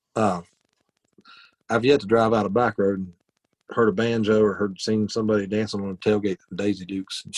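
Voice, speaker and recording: In an Appalachian accent, the speech runs at a fairly quick pace with monotone, flat intonation and long, frequent pauses. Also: man. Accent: Appalachian Southern US. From West Virginia. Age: 40s. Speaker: country musician. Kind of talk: casual interview chat.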